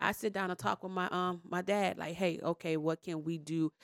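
With a bright, sharp tone and a fairly low pitch, a woman speaks at a moderate pace in a very clean recording with a silent background and a dry, close sound with no echo. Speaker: panel guest. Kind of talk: casual panel discussion.

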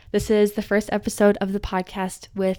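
Her voice has a dark, mellow tone, and the woman speaks in a monotone, flat intonation. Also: very clean recording, silent background. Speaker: podcast host. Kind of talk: solo monologue. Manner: rambling.

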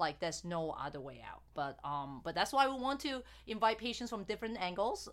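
An unremarkable speaking voice at a fairly quick pace with lively intonation. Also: woman. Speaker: fertility doctor hosting a podcast. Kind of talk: casual interview chat.

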